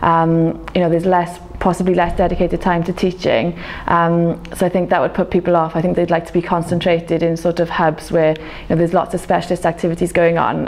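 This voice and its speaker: A woman with a South Wales accent talks fairly quickly in a flat monotone amid noticeable background noise. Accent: South Wales (Welsh English). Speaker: medical graduate, doctor. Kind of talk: interview answer.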